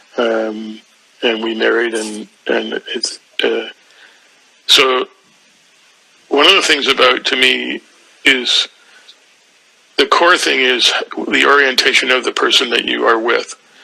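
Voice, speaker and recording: Delivered at a fairly slow pace with long, frequent pauses, the speech comes through noticeable background noise. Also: man. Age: 70s. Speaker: spiritual teacher. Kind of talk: spiritual mentoring conversation. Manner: halting, many fillers and repetitions.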